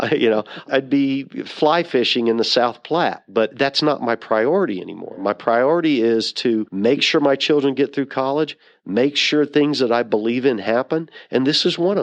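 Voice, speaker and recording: Over a quiet background, a man with an unremarkable speaking voice, medium in pitch, talks at a moderate pace with ordinary pitch variation. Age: 60s. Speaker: nonprofit hemp foundation founder. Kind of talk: interview.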